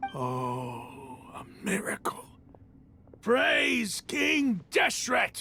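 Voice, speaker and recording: In a put-on character voice, a man speaks raspy and high-pitched, swinging his pitch very widely at a very slow pace with long, frequent pauses. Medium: video game. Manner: smug, commanding.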